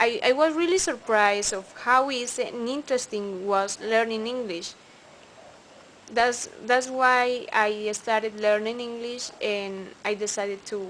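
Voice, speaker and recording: Speaking very slowly with a Spanish accent, a woman uses a fairly high pitch and ordinary pitch variation. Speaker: English student. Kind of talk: recorded class assignment answers. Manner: halting, with fillers.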